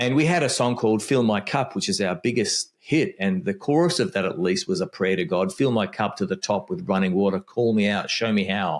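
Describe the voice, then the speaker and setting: A man with an Australian accent talks fairly quickly at a medium pitch, with hardly any pauses and very even loudness. His pitch swings very widely on a very clean recording with a silent background. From Australia (Melbourne). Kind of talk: casual interview conversation.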